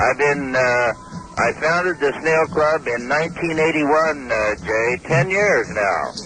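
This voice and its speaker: Over noticeable background noise, a man speaks at a fairly slow pace in a fairly high pitch, with ordinary pitch variation and very even loudness. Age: 70s. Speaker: snail club founder. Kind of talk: phone interview. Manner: hesitant, with fillers.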